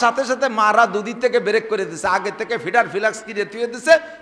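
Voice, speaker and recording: An animated man with a raised, projected voice amid noticeable background noise. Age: 50s. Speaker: Islamic preacher. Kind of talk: humorous religious sermon.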